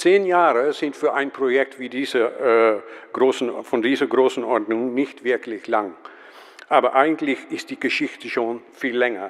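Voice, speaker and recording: Noticeable background noise accompanies a man with medium pitch. He speaks at a fairly slow pace with ordinary pitch variation. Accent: Dutch. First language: Dutch (speaking German). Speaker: museum professional, conference speaker. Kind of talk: conference talk read from script. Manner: reading aloud, hesitant with fillers.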